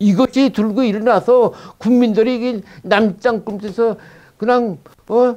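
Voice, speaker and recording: A man's high-pitched, dark, mellow voice at a very slow pace, with fairly even intonation, long, frequent pauses and a quiet background. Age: 80s+. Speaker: former intelligence officer. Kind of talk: interview answer. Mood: indignant, urgent warnings. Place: studio. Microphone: lapel.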